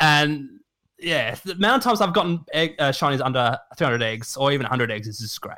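Speaking very fast with lively intonation, a man with an Australian accent has a fairly high pitch and a bright, sharp tone on a very clean recording with a silent background. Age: 20s. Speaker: streamer and shiny hunter. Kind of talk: casual chat.

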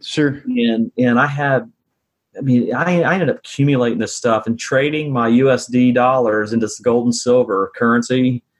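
This man talks at a moderate pace and medium pitch, with fairly even intonation and very even loudness. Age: 40s. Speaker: real estate investor. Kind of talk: interview. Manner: halting.

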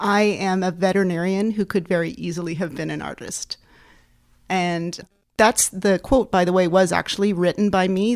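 With a Canadian accent, a woman speaks at a moderate pace and a fairly low pitch in a plain, everyday voice. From Canada, Ottawa. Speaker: veterinarian and practice co-owner. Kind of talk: interview conversation.

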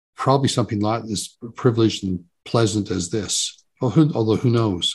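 A man talks with hardly any pauses, his voice somewhat breathy. His pitch sits fairly low. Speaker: author and psychotherapist. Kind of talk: interview conversation.

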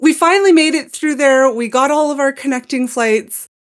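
A woman with a Montreal accent and lively intonation. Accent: Montreal Canadian English. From Montreal, Canada. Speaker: podcast guest. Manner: enunciates words clearly.

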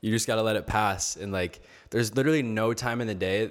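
Recorded very cleanly against a silent background, a man with an American accent speaks at a fairly quick pace with ordinary pitch variation. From Michigan. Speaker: visual artist. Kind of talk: casual interview.

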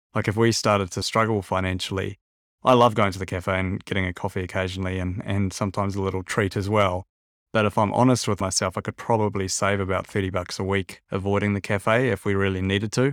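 A man talks at a very fast pace in a New Zealand accent, fairly low and monotone, with flat intonation. The recording is very clean, with a silent background. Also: dry, close sound with no echo. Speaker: podcast host. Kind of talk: interview.

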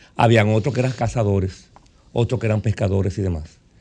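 In a dark, mellow, somewhat breathy tone, a man talks at a very fast pace with a fairly low pitch and ordinary pitch variation. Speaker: doctor. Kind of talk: interview.

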